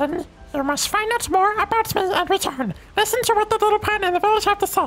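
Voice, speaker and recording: Over clear background music, a woman uses a squeaky, put-on character voice at an extremely high pitch. She talks very fast, with ordinary pitch variation. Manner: pompous.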